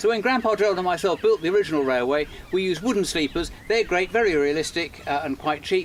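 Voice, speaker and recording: A man talks at a very fast pace with hardly any pauses, his pitch high for a man and his intonation lively. Noticeable background noise runs under the recording. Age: 60s. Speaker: model engineer and children's author. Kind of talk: narrated tutorial. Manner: casual.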